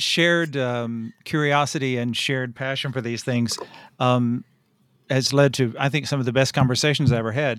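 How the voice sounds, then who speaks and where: A man speaks with an American accent in a normal speaking voice, medium in pitch and fairly even in intonation. His moderate pace comes through on a very clean recording with a silent background. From rural Tennessee, US South. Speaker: writer and anthology editor. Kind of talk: casual interview.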